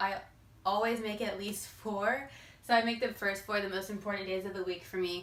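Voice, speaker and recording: A woman's medium-pitched voice at a fairly quick pace, with audible room echo. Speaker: fitness youtuber. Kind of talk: tutorial. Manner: fast.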